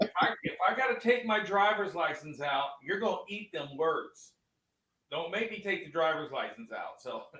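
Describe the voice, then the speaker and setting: A raised, projected voice with lively intonation moves at a moderate pace. Music plays in the background. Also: man, high pitch for a man. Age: 60s. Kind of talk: casual chat.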